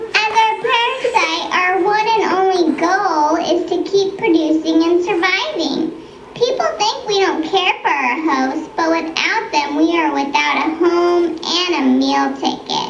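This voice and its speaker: A squeaky, female-sounding cartoonish character voice at an extremely high pitch moves at a fairly slow pace with hardly any pauses, over clear background noise and a slight echo. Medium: puppet show. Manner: genteel, coy.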